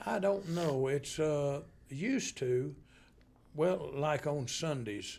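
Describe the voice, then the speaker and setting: A man speaks with an American accent. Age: 70s. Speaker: band member. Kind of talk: casual chat. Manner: halting.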